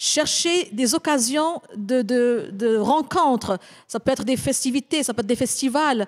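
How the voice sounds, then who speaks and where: Speaking at a fairly slow pace with very even loudness, a woman uses lively intonation in a high-pitched voice against a quiet background. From Morocco. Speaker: intercultural consultant and speaker. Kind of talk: panel discussion. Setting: live panel at a community centre. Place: hall. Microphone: handheld.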